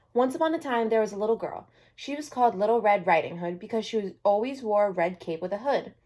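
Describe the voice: The voice is plain reading aloud. It stays that way throughout.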